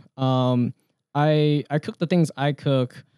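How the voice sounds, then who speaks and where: Against a quiet background, a man speaks in a dark, mellow tone with a dry sound that has no echo. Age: 20s. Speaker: realtor and DJ; DJ. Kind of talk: casual chat. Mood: relaxed, casual. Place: studio. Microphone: studio mic.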